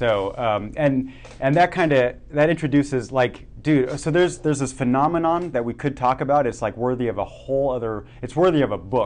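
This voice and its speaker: In an ordinary speaking voice, a man talks at a fairly quick pace with hardly any pauses, using a medium pitch and ordinary pitch variation. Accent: American. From Germany and Oregon. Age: 30s. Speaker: podcast host. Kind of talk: casual interview chat.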